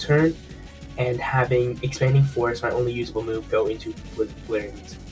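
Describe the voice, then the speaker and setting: A man talks with fairly even intonation while music plays in the background. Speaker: gaming commentator. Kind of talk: game match commentary.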